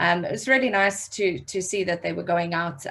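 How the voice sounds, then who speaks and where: Speaking with a South African accent, a woman uses a fairly low pitch with vocal fry. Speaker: digital marketing trainer. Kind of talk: online workshop training. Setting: video call.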